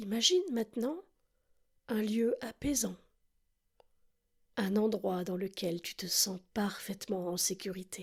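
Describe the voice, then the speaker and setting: A woman with a somewhat breathy, mid-pitched voice and ordinary pitch variation speaks at a very slow pace, leaving long, frequent pauses. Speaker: relaxation guide. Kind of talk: guided sleep relaxation. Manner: slow, soft-spoken.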